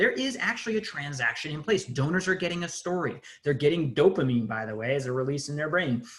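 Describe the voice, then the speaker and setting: Speaking at a very fast pace, a man uses lively intonation and a fairly high pitch. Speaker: nonprofit digital agency CEO, conference presenter. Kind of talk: conference webinar presentation. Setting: video call.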